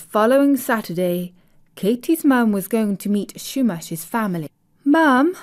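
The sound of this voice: An unforced reading voice with lively intonation sounds over a quiet background.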